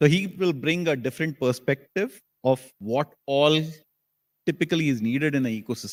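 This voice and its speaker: Recorded very cleanly against a silent background, with a dry, close sound and no echo, a man talks at a moderate pace in a fairly high voice with ordinary pitch variation. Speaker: panel moderator, technology strategy executive. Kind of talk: panel discussion moderation.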